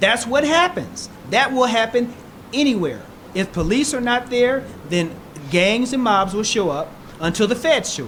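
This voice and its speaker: Noticeable background noise surrounds a man with an extremely high pitch and lively intonation. He keeps a moderate pace with long, frequent pauses. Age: 60s. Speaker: political candidate. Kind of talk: political debate. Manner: emphatic.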